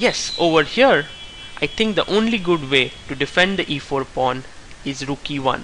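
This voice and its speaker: With lively intonation, a man with a fairly high voice speaks at a fairly slow pace over noticeable background noise. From India. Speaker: chess player. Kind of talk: tutorial.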